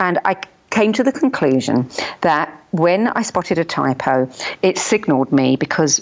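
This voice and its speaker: A woman speaks with a British accent at a moderate pace. Her voice is very deep and low, with lively intonation. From UK. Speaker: journalist and radio host. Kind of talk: interview answer.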